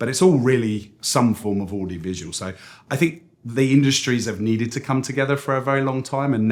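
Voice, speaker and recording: There is audible room echo as a man with a British accent talks at a fairly quick pace, his pitch varying in an ordinary way. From United Kingdom. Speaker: agency CEO. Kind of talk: interview. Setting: industry conference.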